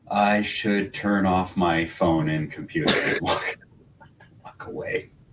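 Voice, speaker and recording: Over noticeable background noise, a man talks very slowly at a fairly low pitch, with ordinary pitch variation. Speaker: podcast co-host. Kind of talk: casual chat.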